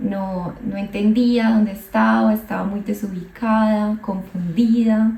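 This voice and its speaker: Noticeable background noise sits behind a woman with a fairly high pitch. Her intonation is monotone and flat. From Colombia. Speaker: psychologist vlogger. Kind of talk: personal storytelling vlog. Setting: outdoors, walking. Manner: hesitant, with fillers and repetitions.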